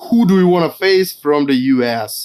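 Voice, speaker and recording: A man speaks in a strong Russian accent with lively intonation. The recording is very clean, with a silent background. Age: 20s. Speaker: deathmatch wrestler. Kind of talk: casual interview. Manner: halting.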